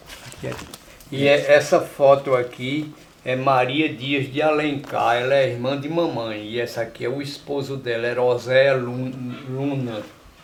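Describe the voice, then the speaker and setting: A man talks at a fairly slow pace in a medium pitch with monotone, flat intonation. Room echo and noticeable background noise are audible. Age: 70s. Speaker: elderly rural resident, documentary interviewee. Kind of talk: documentary interview, reminiscing.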